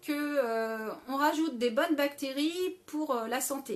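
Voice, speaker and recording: In a very clean recording with a silent background, a woman speaks at a high pitch. Her pace is very slow, with ordinary pitch variation. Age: 40s. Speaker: live stream host on health and food. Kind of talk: live stream Q&A. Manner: hesitant, many fillers.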